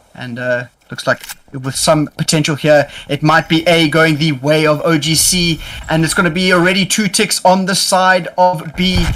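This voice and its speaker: The pace is moderate, with ordinary pitch variation. Music can be heard behind the voice. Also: man, fairly high pitch for a man. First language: not English. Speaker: esports caster. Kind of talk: live commentary. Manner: animated.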